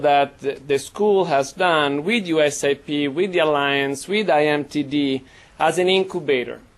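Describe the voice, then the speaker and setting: The pace is moderate. The speaker has an Italian accent. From Italy. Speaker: professor. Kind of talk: panel talk.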